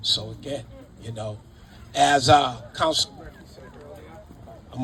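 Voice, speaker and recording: With noticeable background noise, a man talks in an American accent with fairly even intonation. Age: 60s. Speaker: city councillor. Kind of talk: ceremony speech. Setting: outdoors. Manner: halting; too quiet.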